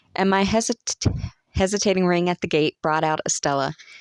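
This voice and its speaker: A woman with a Southern US accent at a fairly quick pace, fairly even intonation, dry and close sound with no echo, very clean recording over a silent background. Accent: American Southern. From Southern United States. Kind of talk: audiobook reading.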